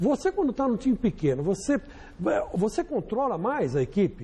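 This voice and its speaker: A man talks at a fairly quick pace, his pitch swinging very widely. Noticeable background noise runs under him. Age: 60s. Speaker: football pundit. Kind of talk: panel discussion.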